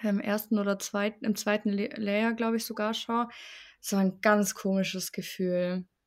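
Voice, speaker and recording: A woman with a fairly high pitch speaks in a monotone, flat intonation, captured in a very clean recording with a silent background. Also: moderate pace. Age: 20s. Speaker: bereaved interviewee. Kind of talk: personal testimony in interview. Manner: casual, colloquial.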